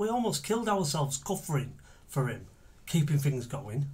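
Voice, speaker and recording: A man's somewhat breathy voice, dark and mellow in tone, with lively intonation. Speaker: actor in monologue. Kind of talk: dramatic monologue. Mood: angry, bitter. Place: home room.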